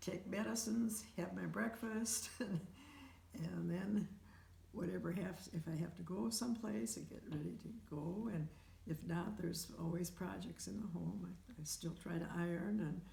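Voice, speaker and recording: A woman speaks at a fairly slow pace, her voice carrying an audible room echo over noticeable background noise. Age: 80s+. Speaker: home care client with heart conditions. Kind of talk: interview. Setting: at home. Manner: halting.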